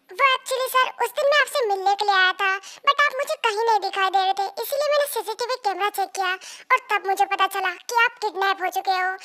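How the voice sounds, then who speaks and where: A woman performs a put-on character voice at an extremely high pitch. She talks very fast with ordinary pitch variation. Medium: fan dub. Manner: respectful, earnest.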